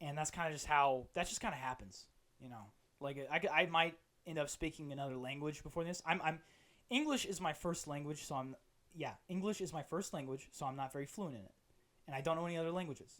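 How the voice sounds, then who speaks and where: The recording is very clean with a silent background. A fairly high-pitched man speaks at a very fast pace with ordinary pitch variation. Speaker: podcast host. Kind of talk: solo comedic monologue. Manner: rambling with repetitions.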